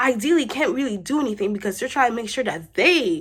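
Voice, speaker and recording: The pace is fairly quick. Pitch swings very widely. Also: woman. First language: not English. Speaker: vlogger. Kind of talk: casual vlog monologue.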